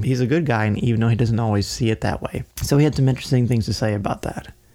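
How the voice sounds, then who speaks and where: A man with a medium pitch and ordinary pitch variation speaks in an ordinary speaking voice. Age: 40s. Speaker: podcast co-host. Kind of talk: casual chat.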